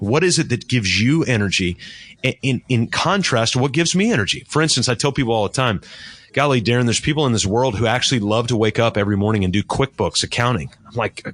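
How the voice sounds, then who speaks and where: This man talks very fast with an American accent. His pitch is medium and his intonation lively. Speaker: business coach. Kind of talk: interview. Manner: soft-spoken.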